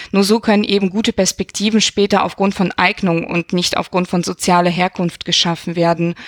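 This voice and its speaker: A woman talks at a fairly quick pace with a medium pitch and a monotone, flat intonation, in a dry, close sound with no echo. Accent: slight non-native. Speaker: university equal opportunities officer. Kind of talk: interview.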